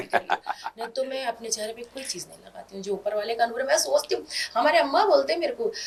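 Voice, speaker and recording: A woman speaks with a Hyderabadi accent. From Hyderabad, India. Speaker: comedic character actor. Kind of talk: interview.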